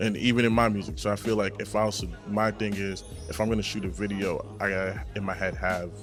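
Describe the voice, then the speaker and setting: Over music in the background, a man with an American accent speaks at a very fast pace, with a fairly low pitch and ordinary pitch variation. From Brockton, Massachusetts. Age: young. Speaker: rapper. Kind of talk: interview answer.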